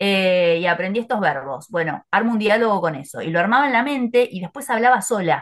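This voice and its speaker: A woman's normal speaking voice at medium pitch, fairly quick, with lively intonation and hardly any pauses. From Argentina, Buenos Aires. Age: 40s. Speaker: English teacher and language coach. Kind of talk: interview conversation.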